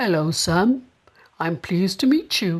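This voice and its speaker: Soft-spoken and at a middle pitch, the speaker performs a put-on character voice. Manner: soft, gentle.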